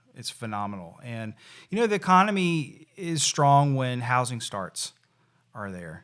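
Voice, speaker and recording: A man with a Tennessee accent speaks at a moderate pace, his pitch swinging very widely, in a very clean recording with a silent background. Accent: US Southern (Tennessee). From Tennessee (Nashville area). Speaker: real estate association executive. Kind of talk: podcast interview.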